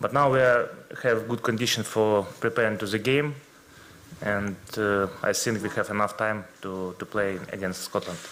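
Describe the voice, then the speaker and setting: Speaking with a Ukrainian accent, a man keeps a moderate pace. His intonation is fairly even. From Ukraine. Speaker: footballer. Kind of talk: press conference. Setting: press conference room. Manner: halting.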